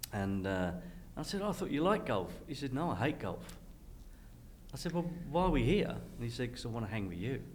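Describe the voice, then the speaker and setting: A man talks at a fairly quick pace with vocal fry and a medium pitch, making very wide pitch swings. There are long, frequent pauses, and audible room echo can be heard. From Western Australia (Perth). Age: 60s. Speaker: entrepreneur. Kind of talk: casual conversation.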